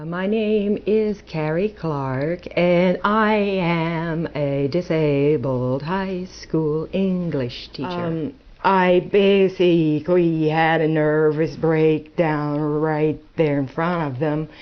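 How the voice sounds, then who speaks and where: A woman speaks at a very slow pace with a fairly low pitch and ordinary pitch variation. Noticeable background noise is present. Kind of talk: testimony. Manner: halting.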